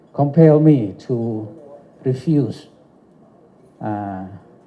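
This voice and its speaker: Audible room echo surrounds the voice. The pace is very slow, with lively intonation. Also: man. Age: 70s. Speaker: doctor giving an award speech. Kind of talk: lecture.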